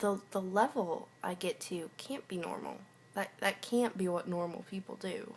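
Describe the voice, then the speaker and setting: A woman at a medium pitch, speaking at a moderate pace. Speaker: video diarist, college student. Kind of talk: video journal monologue. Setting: home, just woke up from a nap. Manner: halting.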